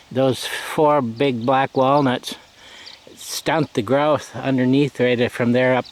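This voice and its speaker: Over noticeable background noise, a man in a relaxed tone talks very slowly at medium pitch, his intonation monotone and flat. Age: 70s. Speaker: rural hobby farmer. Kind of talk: casual vlog narration. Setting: outdoors. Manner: relaxed with frequent fillers.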